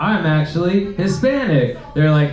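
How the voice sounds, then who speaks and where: A man speaking fairly slowly amid audible room echo and noticeable background noise. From Mexican-American, US. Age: 30s. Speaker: comedian. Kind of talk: stand-up. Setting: stage with audience. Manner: animated.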